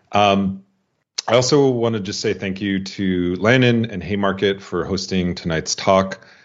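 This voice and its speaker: Fairly low male pitch from a man, with fairly even intonation. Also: fairly slow pace. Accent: American. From US Midwest, South Dakota. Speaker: writer and historian. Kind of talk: lecture. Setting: online talk. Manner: halting, many fillers.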